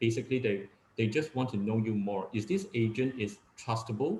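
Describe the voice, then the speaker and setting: A man speaks with a Cantonese accent at a moderate pace. His voice is medium in pitch and somewhat breathy, with ordinary pitch variation. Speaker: real estate agent. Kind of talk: webinar talk. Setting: video call. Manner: halting, many fillers.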